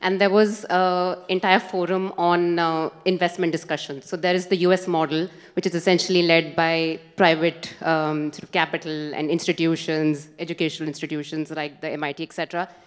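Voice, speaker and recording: A woman with a fairly low pitch speaks in a monotone, flat intonation at a moderate pace. She hardly pauses. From India. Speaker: audience member. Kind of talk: audience question. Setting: conference hall with audience. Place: hall. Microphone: handheld.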